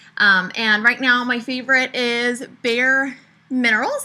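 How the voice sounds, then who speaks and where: The recording is very clean, with a silent background. A woman speaks at a high pitch in a monotone, flat intonation. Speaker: makeup tutorial creator. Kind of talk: tutorial.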